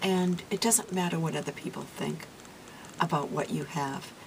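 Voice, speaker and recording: Over noticeable background noise, a woman with a fairly low pitch talks at a moderate pace using ordinary pitch variation. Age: 60s. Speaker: beauty vlogger. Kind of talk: casual talk to camera.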